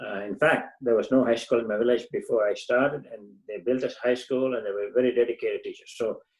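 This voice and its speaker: A man with a Tamil accent talks at a very fast pace, his loudness swinging widely. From southern India, Tamil Nadu. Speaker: engineer and community volunteer. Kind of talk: interview. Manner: halting, many fillers.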